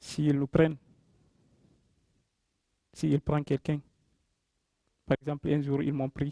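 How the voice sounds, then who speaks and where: A man talks very slowly at a fairly high pitch, monotone and flat, with long, frequent pauses. His tone is dark and mellow, and the sound is dry and close with no echo. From Guinea. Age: 20s. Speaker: migrant speaker. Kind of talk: personal testimony talk to audience.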